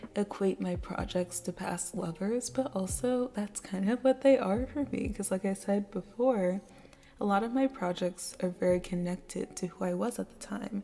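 A woman with a medium pitch and ordinary pitch variation speaks at a moderate pace over noticeable background noise. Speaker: solo podcast host. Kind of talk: casual monologue. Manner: laughs often.

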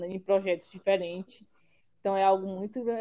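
A woman speaks at a moderate pace with a medium pitch. Her tone is dark and mellow. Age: 20s. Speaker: student, junior enterprise director. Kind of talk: casual chat.

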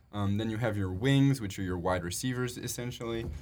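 At a fairly quick pace, a man with an American accent and a plain, everyday voice speaks at a fairly low pitch with ordinary pitch variation. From Chicago area. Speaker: college club quidditch player. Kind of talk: casual interview chat.

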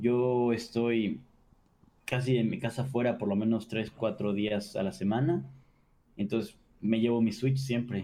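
A man speaks in a dark, mellow tone. His pitch sits in the medium range. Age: 20s. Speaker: streamer and commercial pilot. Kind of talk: casual interview.

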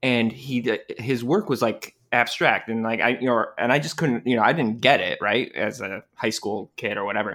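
A man talks at a moderate pace with hardly any pauses, his tone bright and sharp. His medium pitch shows ordinary variation on a very clean recording with a silent background. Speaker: podcast co-host. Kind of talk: casual chat.

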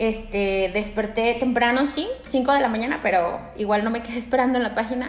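A woman's fairly high voice in a Mexican accent, at a moderate pace with hardly any pauses and fairly even intonation, amid audible room echo and noticeable background noise. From Aguascalientes, Mexico. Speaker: lawyer, host's roommate. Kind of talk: casual chat.

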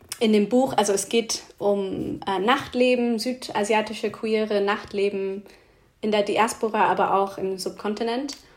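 A woman speaks very slowly in an English accent. Her intonation stays fairly even. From England, Oxford. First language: English (speaking German). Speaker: dance fitness trainer and DJ. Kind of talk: casual interview. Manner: hesitant, many fillers.

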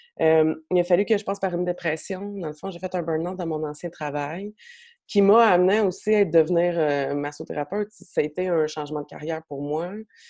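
Over a quiet background, a woman talks at a fairly quick pace with a dark, mellow tone and a fairly low pitch. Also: big swings in loudness. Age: 30s. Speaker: massage therapist. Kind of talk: casual interview chat. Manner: animated.

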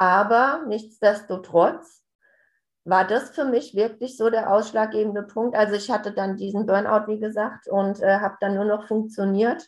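A plain, everyday voice moves at a moderate pace with fairly even intonation over a quiet background. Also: woman, fairly high pitch for a woman. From Hessen, near Hanau. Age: 40s. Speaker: family coach, addiction relative. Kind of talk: interview, personal testimony.

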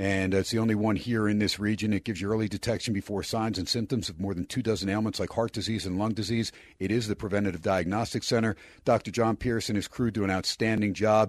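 A man with a fairly low voice talks at a very fast pace in an energetic tone, the sound dry and close with no echo against a quiet background. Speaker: radio sports host. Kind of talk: live radio sports talk show patter with ad reads. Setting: radio studio. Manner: fast, punchy, energetic radio-host delivery.

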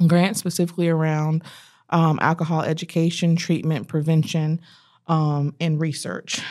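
A woman speaks at a moderate pace in a fairly low, flat monotone with very even loudness. The recording is very clean, with a silent background. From North Carolina, Fayetteville. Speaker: human resources director. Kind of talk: interview. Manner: frequent filler 'um'.

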